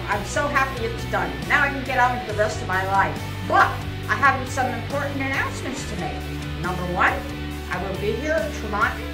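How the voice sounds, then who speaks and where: A woman at a moderate pace with clear music in the background. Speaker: motorcyclist and author. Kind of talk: casual announcement to camera. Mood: cheerful, proud. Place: shop. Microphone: phone near.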